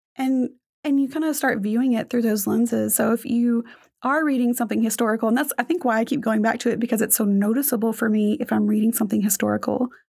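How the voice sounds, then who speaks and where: Recorded very cleanly against a silent background, a woman speaks very fast with a fairly high pitch, fairly even intonation and very even loudness. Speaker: podcast host. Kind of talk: educational podcast discussion.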